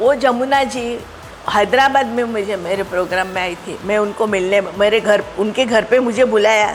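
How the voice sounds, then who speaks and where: A woman's fairly high voice with ordinary pitch variation amid noticeable background noise. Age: 70s. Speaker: retired stage magician. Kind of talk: interview. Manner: halting.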